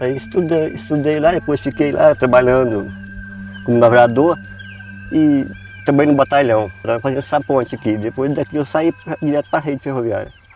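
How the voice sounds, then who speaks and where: Music runs in the background as a man talks at a moderate pace. His pitch is medium with ordinary variation. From Goiás, Brazil (rural, Cumari). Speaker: retired railway worker. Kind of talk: documentary interview.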